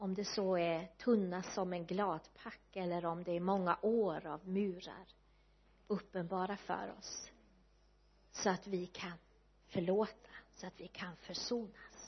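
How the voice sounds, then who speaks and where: At a very slow pace, a woman speaks in a somewhat breathy, monotone voice of medium pitch with flat intonation and big swings in loudness. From west coast Sweden, Kungshamn in Bohuslän. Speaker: guest preacher. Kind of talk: sermon.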